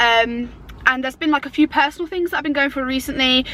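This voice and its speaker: Noticeable background noise sits behind a woman with an English accent. Her voice is high, with lively intonation. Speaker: YouTuber. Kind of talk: casual chat. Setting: in a car. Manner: chatty.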